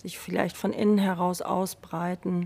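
At a very slow pace, a woman speaks in a fairly low pitch with a calm, soothing tone that is dark and mellow. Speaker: yoga teacher. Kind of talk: guided meditation. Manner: slow, calm, soothing; gentle, unhurried, with long pauses.

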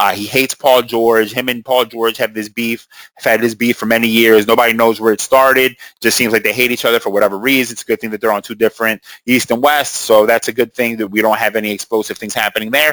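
A man's very fast, monotone delivery with flat intonation, a bright, sharp tone and medium pitch. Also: dry, close sound with no echo. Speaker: sports podcast host. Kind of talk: casual solo commentary.

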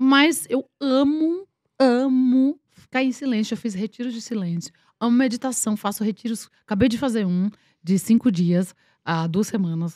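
In a very clean recording with a silent background and a dry, close sound with no echo, a woman with a fairly high pitch speaks in an animated tone at a fairly slow pace. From Paraíba, Brazil (Campina Grande). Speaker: actress. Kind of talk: casual chat.

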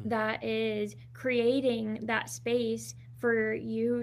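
A woman's voice with audible room echo. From Southern California. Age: 20s. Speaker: holistic nutritionist and wellness coach. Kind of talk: interview.

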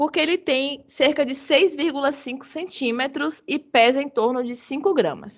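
At a very slow pace and with hardly any pauses, a woman speaks in a high pitch with ordinary pitch variation. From Bahia, Brazil. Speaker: biologist, hummingbird researcher. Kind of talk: casual interview.

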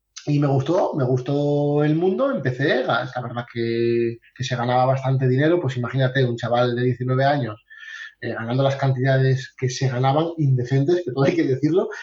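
A man's somewhat breathy voice at medium pitch, moderate in pace with fairly even intonation. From Asturias, Spain. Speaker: sales coach. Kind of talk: interview.

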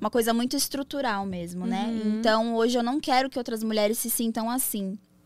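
A woman's normal speaking voice, fairly high in pitch, with fairly even intonation and a moderate pace. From São Paulo, Brazil. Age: 20s. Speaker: DJ and adult content entrepreneur. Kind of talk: casual interview chat.

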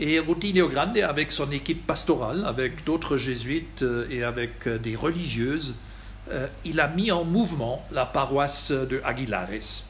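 Lively intonation from a fairly high-pitched man at a fairly slow pace, with audible room echo. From Germany. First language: German (speaking French). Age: 60s. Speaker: Jesuit priest. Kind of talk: lecture. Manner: halting.

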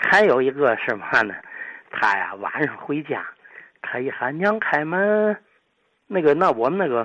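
A man with a fairly high voice speaks at a fairly slow pace. His pitch swings very widely, and he takes long, frequent pauses. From Tianjin, China. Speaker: elderly listener sharing memories. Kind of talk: reminiscence storytelling.

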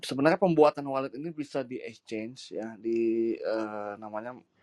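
A man's unremarkable speaking voice, medium in pitch, at a fairly slow pace. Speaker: crypto exchange PR and digital marketer. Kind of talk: casual talk-show discussion. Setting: live audio room online.

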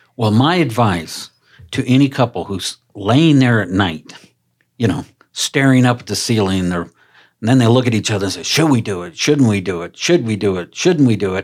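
With an American accent, a man at medium pitch talks at a moderate pace with lively intonation on a very clean recording with a silent background. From US East Coast. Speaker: podcast host. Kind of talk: casual podcast interview.

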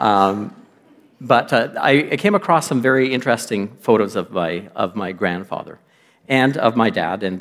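With a Canadian accent, an ordinary speaking voice carries ordinary pitch variation. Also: man. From western Canada (Lloydminster). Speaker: guest lay preacher. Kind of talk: sermon. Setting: church.

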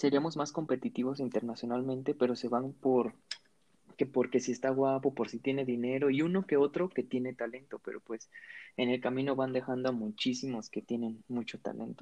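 Fairly even intonation from a man, his tone dark and mellow, his pitch medium. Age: 20s. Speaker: podcast co-host, medical student. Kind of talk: casual chat.

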